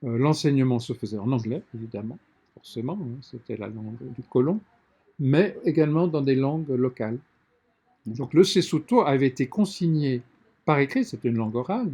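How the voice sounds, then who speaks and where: At a moderate pace, a man with a fairly high pitch and a dark, mellow tone speaks somewhat breathily with lively intonation, big swings in loudness, and long, frequent pauses. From Lesotho and South Africa. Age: 60s. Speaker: publisher. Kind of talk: interview.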